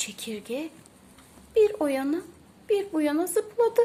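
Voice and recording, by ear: Big pitch swings mark a woman's high, dark, mellow voice as she speaks at a slow pace.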